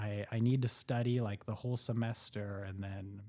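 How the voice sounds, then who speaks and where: On a very clean recording with a silent background, a man speaks with a fairly low pitch and a dark, mellow tone. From Los Angeles, US. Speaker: doctor, podcast co-host. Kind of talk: casual chat. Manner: animated.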